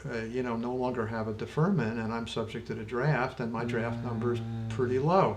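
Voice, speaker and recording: Music plays in the background as a man speaks. His voice sits at a medium pitch with fairly even intonation. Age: 70s. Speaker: retired health care executive and lawyer. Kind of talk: podcast conversation.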